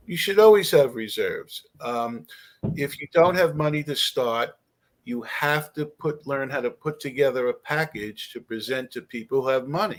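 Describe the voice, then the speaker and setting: Speaking in an ordinary speaking voice, a man talks at a moderate pace and fairly high pitch with ordinary pitch variation. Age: 60s. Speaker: real estate investor and author. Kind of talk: podcast interview.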